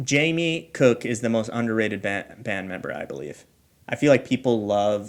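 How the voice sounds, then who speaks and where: A man with a Midwestern accent, medium in pitch, with lively intonation at a fairly slow pace. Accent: Midwest American. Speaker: podcast host. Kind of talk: casual chat.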